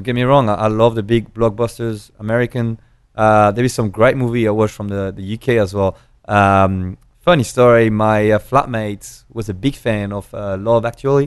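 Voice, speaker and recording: A man with a French accent speaks at a moderate pace. His pitch is fairly low, and the background is quiet. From rural France. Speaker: drinks brand ambassador. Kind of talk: casual interview. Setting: in person, seated. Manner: animated.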